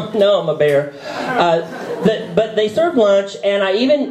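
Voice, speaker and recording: A man with an American accent speaks at a high pitch, with audible room echo and noticeable background noise. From US South, North Carolina. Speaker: comedian. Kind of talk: stand-up. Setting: stage with audience. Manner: halting.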